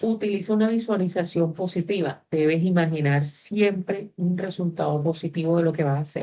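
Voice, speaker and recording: A woman talks in a normal speaking voice, fairly low in pitch, at a moderate pace with fairly even intonation. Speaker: university teacher. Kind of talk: online class lecture.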